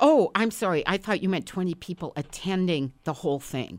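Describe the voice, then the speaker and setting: A woman with an American accent talks in a normal speaking voice at a fairly quick pace, her intonation lively, on a very clean recording with a silent background. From northern Wisconsin, small town. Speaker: writer and stand-up comedian. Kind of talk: casual interview chat.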